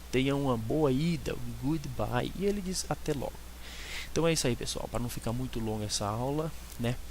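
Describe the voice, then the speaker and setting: Audible room echo follows a man who talks at a moderate pace. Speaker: online English tutor. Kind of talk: language lesson.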